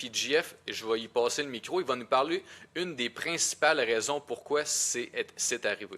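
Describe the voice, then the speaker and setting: A man with a Quebec accent speaks at a fairly slow pace in a bright, sharp tone. The recording is very clean, with a silent background. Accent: Québécois French. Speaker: podcast co-host. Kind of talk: casual podcast discussion.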